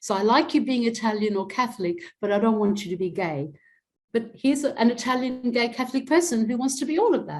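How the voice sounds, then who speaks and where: At a very fast pace, a woman speaks with a fairly high pitch and lively intonation. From Adelaide, South Australia. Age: 60s. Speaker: academic and activist. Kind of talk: interview.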